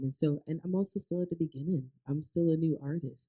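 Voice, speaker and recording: A dark, mellow voice with an American accent at a very fast pace, dry and close with no echo. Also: woman. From Maryland. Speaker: country singer. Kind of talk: live interview. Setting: stage with audience. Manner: animated.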